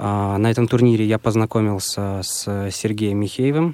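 A man talks in a dark, mellow tone at a fairly low pitch, keeping his intonation fairly even. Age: 20s. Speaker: music student and blind kart driver. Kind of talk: radio interview. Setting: radio studio.

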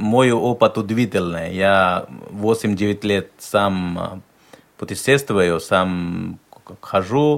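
This man has a normal speaking voice. It sits fairly low, with ordinary pitch variation. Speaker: interpreter. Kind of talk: live interpreting on radio.

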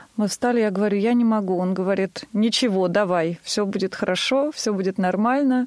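Heard dry and close with no echo, a woman has a plain, everyday voice of medium pitch with ordinary pitch variation. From Tver, Russia. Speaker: singer. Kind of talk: radio interview.

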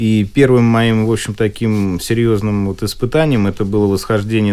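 Ordinary pitch variation and a moderate pace in a normal speaking voice. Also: man. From Moscow, Russia. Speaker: politician and wheelchair athlete. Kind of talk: radio interview.

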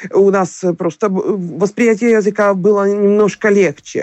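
Fairly high woman's voice at a fairly slow pace, with a dry, close sound and no echo. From Ukraine, Kyiv. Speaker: singer. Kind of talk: interview. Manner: halting.

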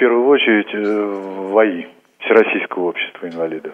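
His pitch is medium. This voice belongs to a man. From Altai Krai, Russia. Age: 50s. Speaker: library director. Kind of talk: interview.

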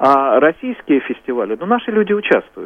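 A man is speaking. His pitch swings very widely. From Smolensk region, Russia. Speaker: regional head of a society for the blind. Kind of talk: live radio interview.

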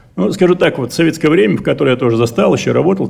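Vocal fry runs through a man's fairly high voice, which has ordinary pitch variation. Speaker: enterprise director. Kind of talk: conference speech. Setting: congress hall.

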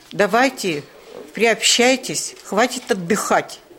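A woman speaks at a fairly slow pace with ordinary pitch variation. Noticeable background noise is present. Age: old. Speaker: amateur actress with visual impairment. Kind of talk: interview.

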